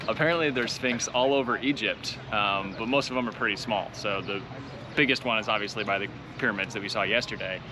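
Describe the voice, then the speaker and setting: Speaking at a very fast pace with ordinary pitch variation, a man is heard over noticeable background noise. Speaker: travel vlogger. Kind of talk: casual vlog chat. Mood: cheerful, light laughing. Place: open country. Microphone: phone near.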